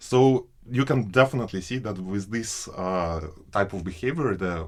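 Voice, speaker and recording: Somewhat breathy and fairly low, a man speaks with a Russian accent and lively intonation. The recording is very clean, with a silent background. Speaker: PhD researcher. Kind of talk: interview answer.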